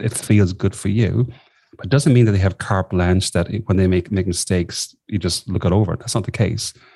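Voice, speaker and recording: A man with an Irish accent talks at a fairly quick pace in a fairly low pitch, his dark, mellow tone somewhat breathy and his intonation fairly even, over a quiet background. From southwest Ireland. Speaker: executive coach. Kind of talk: interview.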